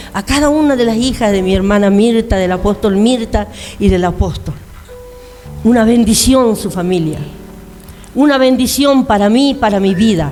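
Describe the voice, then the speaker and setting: Her pitch varies in an ordinary way as a woman speaks. Music plays in the background, and room echo is audible. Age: 60s. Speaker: pastor. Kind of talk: sermon.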